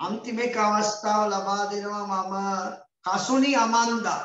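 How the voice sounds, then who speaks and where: In a Sri Lankan accent, a man with a high pitch and fairly even intonation speaks at a very slow pace amid audible room echo. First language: Sinhala. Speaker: English teacher for grade 6 pupils. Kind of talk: online class lesson. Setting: video call. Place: classroom. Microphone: video call.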